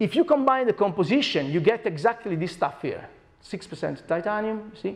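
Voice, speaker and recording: With an Italian accent, a man speaks at a fairly quick pace in a high pitch with lively intonation. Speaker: scientist. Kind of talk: lecture. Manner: animated.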